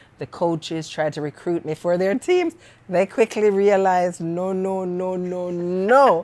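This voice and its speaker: Her medium-pitched voice carries ordinary pitch variation as the woman speaks at a fairly slow pace. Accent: Jamaican Canadian. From Jamaica, Parish of St Mary; moved to Canada at 15. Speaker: poet and author. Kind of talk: interview conversation.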